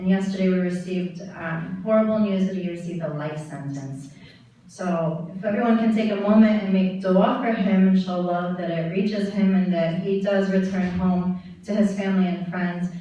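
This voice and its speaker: Against noticeable background noise, a woman at medium pitch speaks at a moderate pace with fairly even intonation. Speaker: spoken word poet. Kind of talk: casual introduction to audience. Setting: live conference stage.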